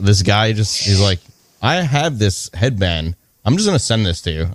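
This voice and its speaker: A man with a normal speaking voice, fairly low in pitch, at a moderate pace with lively intonation, in a dry, close sound with no echo. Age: 30s. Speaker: wrestling figure collector. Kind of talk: casual chat.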